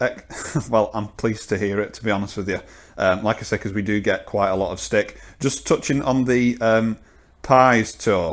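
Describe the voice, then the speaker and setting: A man speaks at a moderate pace with fairly even intonation and a fairly low pitch. The recording is very clean, with a silent background. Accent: Lancashire. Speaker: podcast host. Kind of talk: interview.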